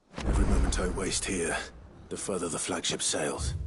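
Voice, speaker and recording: Putting on a character voice, a man speaks raspy and very deep and low at a moderate pace. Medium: video game. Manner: terse, understated.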